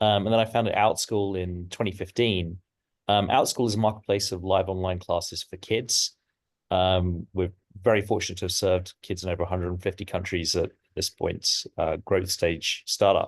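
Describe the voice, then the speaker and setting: In an English accent, a man speaks at a moderate pace and fairly low pitch, with monotone, flat intonation. The sound is dry and close with no echo, over a quiet background. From England. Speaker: tech entrepreneur. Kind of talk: self-introduction.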